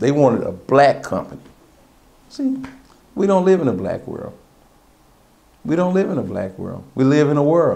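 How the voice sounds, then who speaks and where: A man's fairly high voice with very wide pitch swings, at a moderate pace with long, frequent pauses, in audible room echo. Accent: American. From Texas, Austin. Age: 60s. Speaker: cab company owner. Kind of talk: oral history interview. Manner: conversational.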